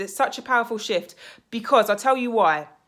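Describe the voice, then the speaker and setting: A loud, animated voice in a British accent, on a very clean recording with a silent background. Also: woman. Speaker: life coach / mindset vlogger. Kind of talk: motivational vlog monologue.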